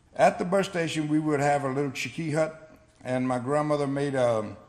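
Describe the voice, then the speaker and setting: A man with an American accent talks at a fairly quick pace. Audible room echo surrounds his voice. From South Florida, Seminole. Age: 60s. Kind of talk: award acceptance speech. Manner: halting, conversational.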